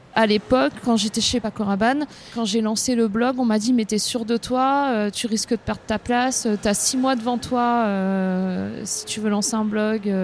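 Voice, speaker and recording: With an ordinary speaking voice, a woman talks at a fairly slow pace with hardly any pauses, her fairly high pitch held in fairly even intonation. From northern France. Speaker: content creator and café co-founder. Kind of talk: casual interview. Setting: outdoors in a small street.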